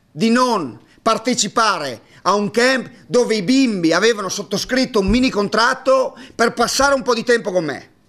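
Against a quiet background, a man talks at a moderate pace in a high pitch with ordinary pitch variation. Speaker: basketball coach. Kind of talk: press conference monologue. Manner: hesitant, halting. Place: hall. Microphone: podium.

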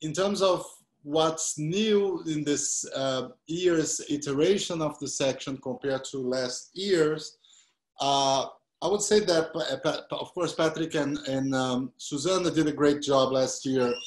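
A man speaks at a very slow pace with ordinary pitch variation. The background is quiet, though audible room echo can be heard. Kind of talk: guided tour presentation. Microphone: video call.

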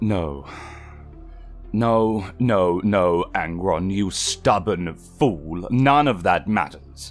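A man's very deep, low voice at a very slow pace, clear music in the background. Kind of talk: dramatic reading. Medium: audio drama. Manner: eloquent, lecturing, exasperated.

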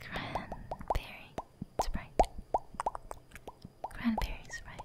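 Very slow whispering from a woman, noticeable background noise behind her. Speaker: VTuber ASMR artist. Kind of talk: ASMR trigger words. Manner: whispered.

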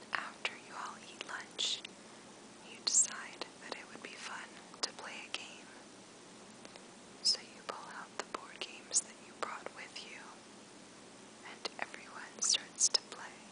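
Soft-spoken whispering comes at a fairly slow pace with long, frequent pauses. Loud background noise fills the recording. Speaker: sleep story narrator. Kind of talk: guided relaxation story, soft spoken. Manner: soft whispered storytelling.

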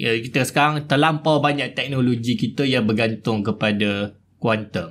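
Delivered at a moderate pace with hardly any pauses, an ordinary speaking voice keeps very even loudness and ordinary pitch variation. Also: man, medium pitch for a man. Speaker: podcast host. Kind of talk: podcast interview.

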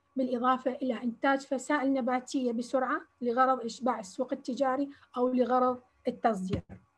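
At a moderate pace, a woman with a southern Iraqi accent speaks in a high, monotone, flat voice. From Iraq, Basra. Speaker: agricultural researcher; lecturer presenting research. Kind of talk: lecture. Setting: video call. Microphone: video call.

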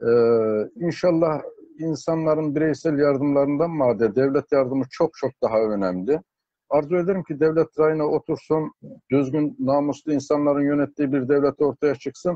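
Speaking at a moderate pace with ordinary pitch variation, a man sounds dry with no echo. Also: quiet background. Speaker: interview guest. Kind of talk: interview answer. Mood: earnest, hopeful. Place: home room. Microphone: video call.

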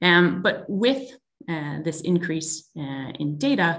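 With a Canadian accent, a woman is talking. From Canada. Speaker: tech company executive. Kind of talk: webinar presentation. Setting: video call. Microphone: video call.

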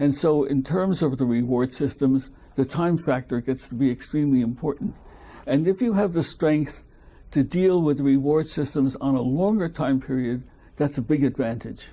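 The voice carries a dark, mellow tone at very even loudness, with ordinary pitch variation. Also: man, fairly high pitch for a man, moderate pace. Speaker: retired biochemist; interviewee. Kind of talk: oral history interview. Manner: halting. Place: home room.

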